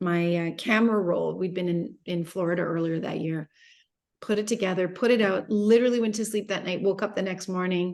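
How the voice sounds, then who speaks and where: A woman talks at a fairly quick pace in a medium pitch. It is a plain, everyday voice with fairly even intonation. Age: 50s. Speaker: entrepreneur and business mentor. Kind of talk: interview.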